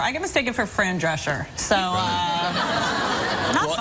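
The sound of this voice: Noticeable background noise sits under a woman's medium-pitched voice. She speaks with lively intonation and hardly any pauses.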